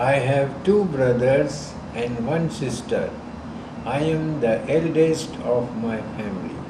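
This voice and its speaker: A man's fairly high-pitched voice at a very slow pace with ordinary pitch variation, in audible room echo and noticeable background noise. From Sindh, Pakistan (Hyderabad). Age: 70s. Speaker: grandfather interviewed for school project. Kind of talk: interview.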